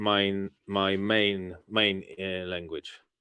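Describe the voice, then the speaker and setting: This man has a Polish accent and a fairly low pitch. His intonation is monotone and flat. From Poland. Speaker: AMA host. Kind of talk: live AMA chat.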